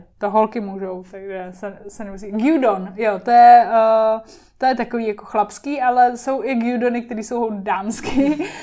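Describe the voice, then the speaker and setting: With a dark, mellow tone, a woman talks at a fairly slow pace using ordinary pitch variation. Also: very clean recording, silent background. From Czech Republic, Liberec, with Japanese family ties. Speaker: TV presenter and influencer. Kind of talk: casual interview chat.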